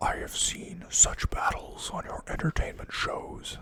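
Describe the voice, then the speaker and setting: A man whispers in a put-on character voice at a fairly slow pace. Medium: read story. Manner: blunt, proud.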